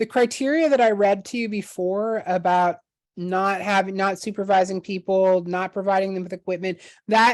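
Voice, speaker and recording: A woman's unremarkable speaking voice at medium pitch and a moderate pace, fairly even in intonation, against a quiet background. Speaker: harm reduction trainer. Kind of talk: presentation. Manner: casual with many fillers.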